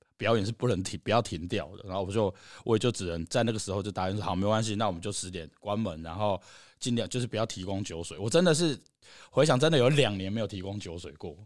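A man with a fairly low pitch and ordinary pitch variation talks at a very fast pace on a very clean recording with a silent background. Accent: Taiwanese. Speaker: live music venue founder. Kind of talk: casual chat.

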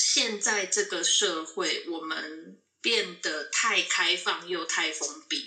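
Very slow speech from a woman with a Taiwanese accent and a fairly low pitch. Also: ordinary pitch variation, hardly any pauses. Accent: Taiwanese Mandarin. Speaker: nurse. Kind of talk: casual interview chat.

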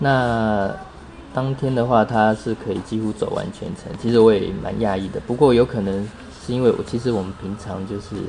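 Moderate-paced speech from a man at medium pitch, under noticeable background noise. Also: ordinary pitch variation. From Taipei, Taiwan. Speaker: physical therapist. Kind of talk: interview.

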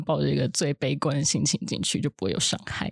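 Talking at a fairly quick pace with lively intonation and vocal fry, a woman comes through in a dry, close sound with no echo. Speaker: film art department assistant. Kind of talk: casual chat.

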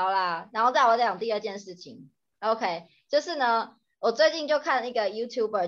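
Against a quiet background, a woman with an unremarkable speaking voice talks at a fairly quick pace, her pitch fairly high and her intonation lively. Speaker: podcast co-host, Chinese tutor. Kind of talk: casual chat.

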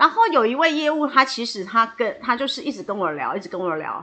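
A raised, projected woman's voice, high in pitch with a bright, sharp tone, very wide pitch swings and a fairly quick pace. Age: 50s. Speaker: hairdresser and salon owner. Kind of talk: interview. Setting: podcast recording. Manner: fluent.

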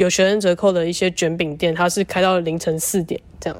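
At a fairly quick pace, a woman talks in a plain, everyday voice of medium pitch with ordinary pitch variation. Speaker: podcast co-host, former exchange student. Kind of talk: casual chat; podcast outro.

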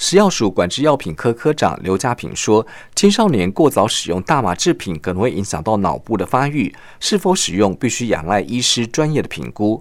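With hardly any pauses and very wide pitch swings, a man talks at a moderate pace and medium pitch in a very clean recording with a silent background. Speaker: radio news feature reporter. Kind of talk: scripted narration. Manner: formal.

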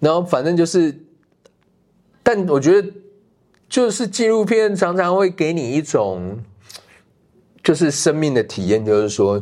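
A man's high-pitched voice with very wide pitch swings and long, frequent pauses. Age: middle-aged. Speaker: documentary director. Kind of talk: casual interview. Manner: halting.

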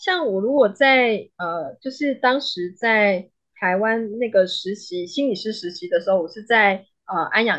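A woman speaks fairly slowly with a slight Malaysian accent. Her fairly high voice moves in very wide pitch swings. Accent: slight Malaysian Chinese accent in Mandarin. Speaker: psychologist. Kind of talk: interview. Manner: halting.

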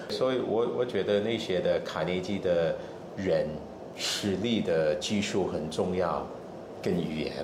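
A man with an English accent speaks fairly slowly in a fairly low pitch with ordinary pitch variation, amid noticeable background noise and audible room echo. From Australia. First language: English (speaking Chinese). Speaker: cross-cultural consultant and trainer. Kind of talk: interview.

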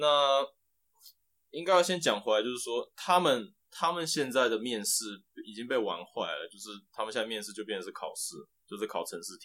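A man of medium pitch talks at a fairly quick pace in a bright, sharp tone, with very wide pitch swings and big swings in loudness. Long, frequent pauses break up his speech. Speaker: applied scientist, former semiconductor engineer. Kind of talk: casual interview.

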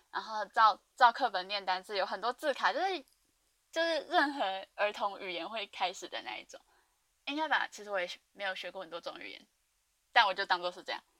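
A woman's bright, sharp, medium-pitched voice at a fairly quick pace, broken by long, frequent pauses. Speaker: podcast host. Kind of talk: casual monologue. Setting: dorm room, alone. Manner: rambling fast talk.

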